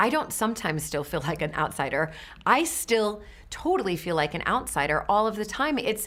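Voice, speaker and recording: With an American accent, a woman talks at a fairly quick pace in a medium pitch, her pitch swinging very widely. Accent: American, nasal. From USA. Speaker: interviewee. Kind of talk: interview.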